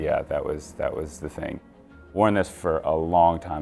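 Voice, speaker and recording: Music plays behind a man speaking at a moderate pace in a very deep, low pitch. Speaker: magician. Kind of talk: interview answer.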